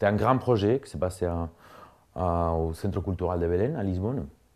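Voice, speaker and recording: A man at a moderate pace. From Spain, Cuenca (Castile). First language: Spanish (speaking French). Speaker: artist and dancer. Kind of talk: interview, personal story. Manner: halting, many fillers and repetitions.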